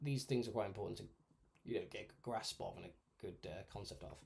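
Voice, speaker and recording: Talking very fast, a man uses a somewhat breathy voice at a medium pitch. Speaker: miniature painting streamer. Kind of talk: live painting tutorial stream. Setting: live stream. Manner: casual, hesitant with fillers; quiet.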